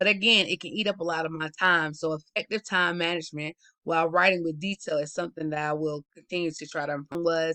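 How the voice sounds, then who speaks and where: In a Southern US accent, the speaker races along at a very fast pace with hardly any pauses. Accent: Southern US, urban. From US South. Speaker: student. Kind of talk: class presentation.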